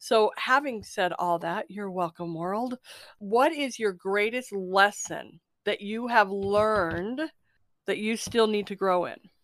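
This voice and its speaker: A woman speaks at a very slow pace in a warm tone, recorded very cleanly against a silent background. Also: medium pitch for a woman, ordinary pitch variation. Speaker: podcast host. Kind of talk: casual spiritual interview chat. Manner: warm, effusive.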